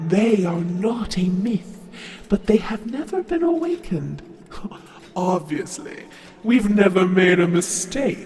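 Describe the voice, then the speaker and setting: In a put-on character voice at middle pitch, the speaker goes fairly slowly with long, frequent pauses, with slight echo and clear background noise. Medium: audio drama.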